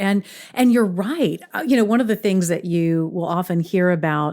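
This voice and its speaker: On a very clean recording with a silent background, a woman speaks in a plain, everyday voice with an American accent. Her pitch is medium, with ordinary pitch variation. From US, raised on both coasts by Mississippi parents. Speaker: podcast host, audiobook narrator. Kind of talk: podcast interview.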